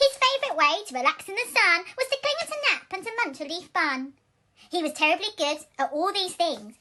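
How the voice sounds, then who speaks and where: In a put-on character voice, a woman squeaks at an extremely high pitch, her pitch swinging very widely. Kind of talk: bedtime story. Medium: read story. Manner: warm, rhythmic, rhyming.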